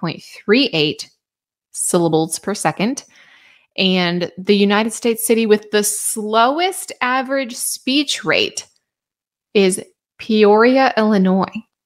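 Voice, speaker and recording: A plain, everyday voice at a fairly slow pace with lively intonation, on a very clean recording with a silent background. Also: woman. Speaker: weather forecaster. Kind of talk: weather forecast.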